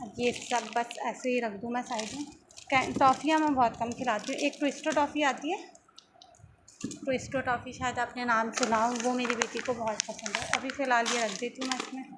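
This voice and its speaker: A soft-spoken woman with a high pitch and fairly even intonation, against noticeable background noise. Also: moderate pace. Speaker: vlogger, mother. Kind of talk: casual vlog talk. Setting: at home.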